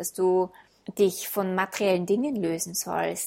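Fairly slow and fairly even in intonation, a woman speaks at medium pitch in an unremarkable speaking voice. The recording is very clean, with a silent background. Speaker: podcast host and self-love coach. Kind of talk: guided meditation. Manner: slow, calm, soothing, gentle pacing with pauses; warm, intimate, addressing listener as du.

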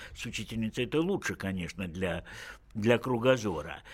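Vocal fry marks a man's speech at a moderate pace in a very clean recording with a silent background. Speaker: physician and sexologist, professor. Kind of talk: radio talk show discussion. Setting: radio studio.

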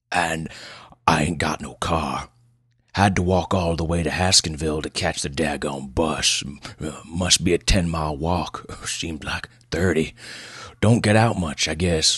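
A man's put-on character voice, gruff and extremely low in pitch, with a fairly bright tone, a slightly husky edge and fairly even intonation. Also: fairly slow pace.

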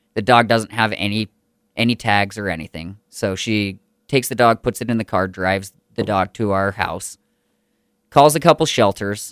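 The recording is very clean, with a silent background and a dry, close sound with no echo. A man with a normal speaking voice talks at a moderate pace, fairly low in pitch with ordinary pitch variation. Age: 30s. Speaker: podcast host and comedy show organizer. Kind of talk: casual chat. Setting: studio.

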